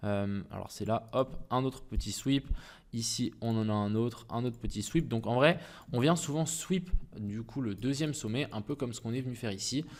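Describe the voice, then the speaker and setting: On a very clean recording with a silent background, a man speaks at medium pitch with ordinary pitch variation. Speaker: crypto trading YouTuber. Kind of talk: market analysis tutorial. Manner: fast; casual, hesitant with fillers.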